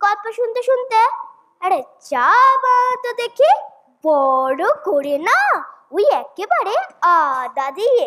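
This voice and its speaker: In a put-on character voice, a woman speaks at an extremely high pitch with very wide pitch swings, very even loudness, and a fairly slow pace. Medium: stage play. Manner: testy, gruff.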